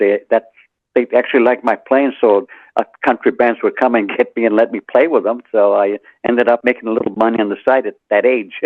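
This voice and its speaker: A man with an American accent at medium pitch, a fairly quick pace and monotone, flat intonation. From Central New Mexico, later Richmond, California. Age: 80s+. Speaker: author, retired musician. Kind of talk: radio interview answer.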